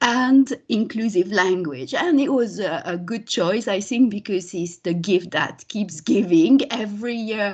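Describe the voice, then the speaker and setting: A woman with a French accent speaks at a fairly slow pace in a somewhat breathy voice with lively intonation, over a quiet background. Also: medium pitch for a woman. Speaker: linguistics lecturer. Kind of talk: academic talk.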